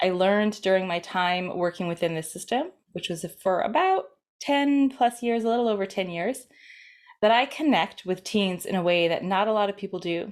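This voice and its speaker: A woman speaks at medium pitch and a moderate pace in a normal speaking voice with ordinary pitch variation. The recording is very clean, with a silent background. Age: 30s. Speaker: parenting coach for teens. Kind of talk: course introduction talk.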